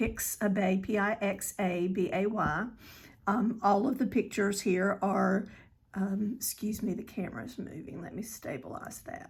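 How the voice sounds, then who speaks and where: At a fairly slow pace, a woman speaks at a medium pitch with ordinary pitch variation and a somewhat breathy voice. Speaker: crafting tutorial creator. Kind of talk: tutorial. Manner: hesitant, with many fillers.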